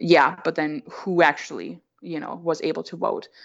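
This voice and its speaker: Against a quiet background, a woman with vocal fry speaks at a very deep, low pitch with fairly even intonation. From Austria. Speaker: doctoral researcher. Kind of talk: interview. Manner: halting, many fillers.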